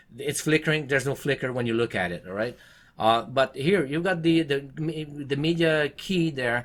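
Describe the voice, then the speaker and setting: A man in a French Canadian accent talks at a fairly quick pace with ordinary pitch variation. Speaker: tech reviewer. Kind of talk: product review to camera. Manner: fast.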